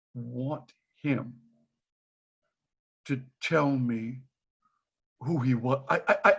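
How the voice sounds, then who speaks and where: A man's somewhat breathy, fairly high voice with an animated tone and ordinary pitch variation. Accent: American. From Boston. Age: 70s. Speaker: retired teacher. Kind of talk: casual chat. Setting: video call.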